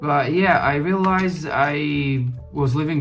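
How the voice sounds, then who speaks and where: A speaker with a non-native accent uses ordinary pitch variation, with music in the background and audible room echo. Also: man. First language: not English. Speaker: gaming YouTuber. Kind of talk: casual talk while gaming. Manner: halting, many fillers.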